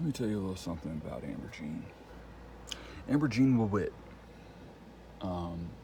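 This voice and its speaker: A man speaks with a very deep, low pitch that swings very widely, in a dark, mellow, somewhat breathy tone. Long, frequent pauses break his speech, and the room echo is audible. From Texas Panhandle. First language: Spanish. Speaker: vlogger. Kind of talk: casual monologue. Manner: rambling with fillers.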